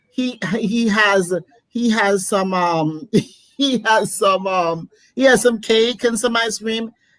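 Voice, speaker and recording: A woman's fairly high voice at a very slow pace, with music playing in the background. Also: ordinary pitch variation. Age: 60s. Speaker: panelist on a talk show. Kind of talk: casual panel discussion.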